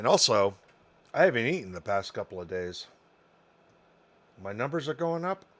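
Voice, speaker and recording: A man at a medium pitch speaks at a moderate pace with very wide pitch swings, big shifts in loudness and long, frequent pauses, in a very clean recording with a silent background. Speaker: gaming streamer. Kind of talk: casual chat. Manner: slurred.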